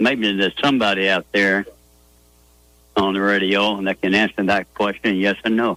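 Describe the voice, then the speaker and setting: A man talks at a moderate pace in a flat, monotone delivery with long, frequent pauses. His tone is bright and sharp, and the sound is dry and close with no echo. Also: fairly low pitch for a man. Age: 70s. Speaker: caller. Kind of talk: call-in radio chat.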